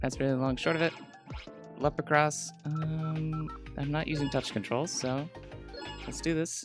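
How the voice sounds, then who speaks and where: The speech has long, frequent pauses. Music plays in the background. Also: moderate pace. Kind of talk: casual let's-play gaming commentary. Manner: hesitant, many filler words.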